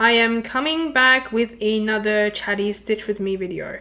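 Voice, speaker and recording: A woman's fairly high, bright, sharp voice with a Chinese accent, very slow in pace with ordinary pitch variation, in a very clean recording against a silent background. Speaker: cross stitch hobbyist. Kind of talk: casual talk to camera. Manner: rambling, chatty.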